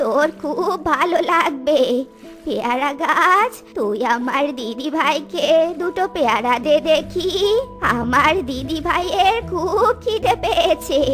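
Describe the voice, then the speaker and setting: A woman's cartoonish character voice, high-pitched and very slow, with clear music in the background. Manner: affectionate.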